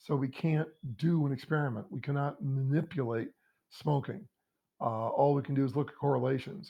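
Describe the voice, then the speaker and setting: This man's voice is fairly high in pitch and somewhat breathy. He speaks at a moderate pace with ordinary pitch variation. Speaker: college lecturer. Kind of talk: recorded lecture. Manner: halting, many fillers.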